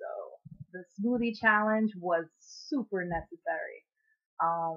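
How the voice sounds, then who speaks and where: A woman's very slow delivery with long, frequent pauses and very wide pitch swings. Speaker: singer-songwriter vlogger. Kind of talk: casual vlog monologue. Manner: chatty, filler-heavy.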